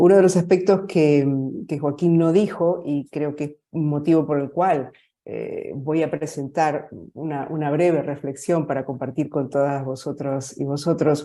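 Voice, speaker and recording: The voice speaks at a fairly slow pace with a dark, mellow tone and fairly even intonation. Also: woman, very deep, low pitch for a woman. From Argentina. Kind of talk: conference talk. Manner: halting, many fillers and repetitions.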